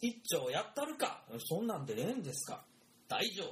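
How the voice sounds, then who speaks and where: A man's voice at a moderate pace, very wide pitch swings, and noticeable background noise. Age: 30s. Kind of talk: casual chat; storytelling.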